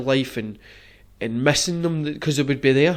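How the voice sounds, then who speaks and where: In a Glaswegian accent, a man talks at a moderate pace with a fairly high pitch and fairly even intonation, on a very clean recording with a silent background. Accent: Glaswegian Scottish. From Scotland, Glasgow. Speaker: podcast host. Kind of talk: casual chat.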